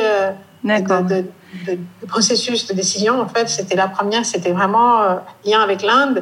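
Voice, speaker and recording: Speaking in a monotone, flat intonation, a woman keeps a moderate pace and a fairly high pitch. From northeast India. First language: Indian language (speaking French). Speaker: fashion and textile brand founder. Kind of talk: interview.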